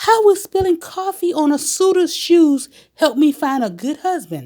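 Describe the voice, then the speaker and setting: A woman's put-on character voice, squeaky and extremely high, at a moderate pace with lively intonation. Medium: read story.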